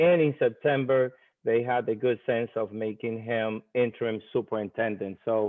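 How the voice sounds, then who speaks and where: A man with an American accent uses a normal speaking voice at a medium pitch, with fairly even intonation and a moderate pace. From Dominican Republic, then New York. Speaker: school principal. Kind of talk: virtual conference speaker introduction.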